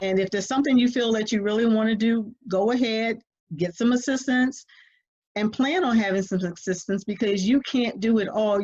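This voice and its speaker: A woman talks at a fairly quick pace in a somewhat breathy voice. Her pitch varies in an ordinary way. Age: 60s. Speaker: family caregiver. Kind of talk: interview.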